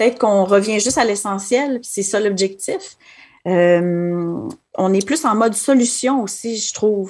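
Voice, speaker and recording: A woman talks very slowly, her medium pitch showing ordinary pitch variation. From Quebec City. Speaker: assistant school principal. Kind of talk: interview.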